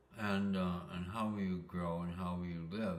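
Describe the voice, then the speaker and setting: A man with a very deep, low pitch speaks in fairly even intonation. Audible room echo and noticeable background noise surround him. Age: 80s+. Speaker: spiritual talker sharing life insights. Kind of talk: reflective monologue. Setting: sitting, solo recording. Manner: halting, many fillers; slow, ruminative.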